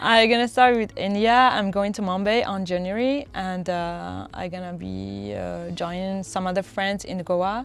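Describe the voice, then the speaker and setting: A woman talks at a moderate pace with medium pitch and fairly even intonation. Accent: French. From France. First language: French. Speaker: traveler. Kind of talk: casual interview. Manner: halting, with many fillers.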